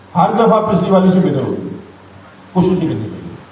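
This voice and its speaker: Amid noticeable background noise and audible room echo, a man speaks at a high pitch with fairly even intonation. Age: 60s. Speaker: teacher. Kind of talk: lecture. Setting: class. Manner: casual, conversational.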